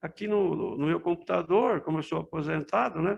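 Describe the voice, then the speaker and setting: With a quiet background, a man speaks at a moderate pace using lively intonation. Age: 70s. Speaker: retired amateur film preserver. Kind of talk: interview reminiscence.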